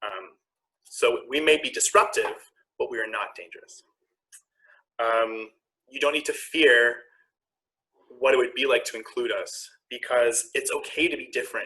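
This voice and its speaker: A man with a Canadian accent at a moderate pace, with long, frequent pauses and big swings in loudness. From Ontario, Canada. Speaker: queer activist and health worker. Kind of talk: panel conversation.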